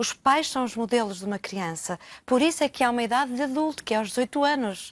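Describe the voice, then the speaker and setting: Against a quiet background with a dry, close sound and no echo, a woman talks at a very fast pace in a high voice with lively intonation. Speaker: therapist.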